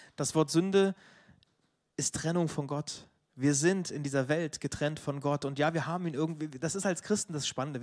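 Very fast speech comes from a man with a fairly high pitch. The sound is dry and close, with no echo. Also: very clean recording, silent background. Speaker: preacher. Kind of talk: sermon.

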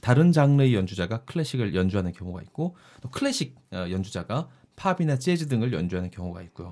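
Talking at a very fast pace, a man uses very wide pitch swings in a dark, mellow tone. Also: medium pitch for a man. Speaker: podcast producer and novelist. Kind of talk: casual chat.

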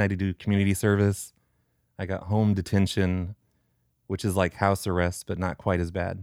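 This man talks at a very fast pace with a fairly low pitch. The recording is very clean and the background silent. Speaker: prank caller and show creator. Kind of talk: casual interview. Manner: natural, own voice without put-on characters.

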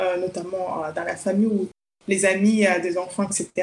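The woman's voice holds a medium pitch and unfolds at a fairly slow pace. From Congo (village). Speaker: children's author and psychologist. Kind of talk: interview. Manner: hesitant, with fillers.

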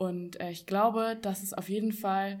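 Her medium-pitched voice stays monotone, with the woman's intonation flat throughout. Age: young. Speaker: dancer. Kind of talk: casual chat. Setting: seminar room with live audience.

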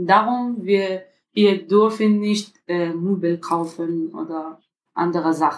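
Fairly even in intonation, a woman speaks at a very slow pace and a fairly low pitch. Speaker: refugee mother. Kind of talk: interview. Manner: halting.

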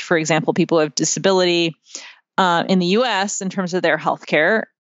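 In an American accent, a woman with a plain, everyday voice and a fairly low pitch speaks at a fairly quick pace with fairly even intonation. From United States. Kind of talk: interview.

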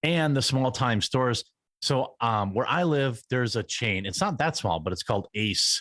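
Recorded very cleanly against a silent background with a dry, close sound and no echo, a man speaks in a plain, everyday voice. His pitch is medium, his intonation lively, and his pace moderate. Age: 30s. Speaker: political commentator YouTuber. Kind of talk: casual interview chat. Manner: casual, filler-heavy.

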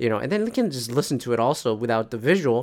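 A man speaks at a fairly quick pace in a medium pitch, with lively intonation, on a very clean recording with a silent background. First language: not English. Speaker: solo podcast host. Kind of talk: casual solo monologue. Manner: meandering, many fillers and restarts.

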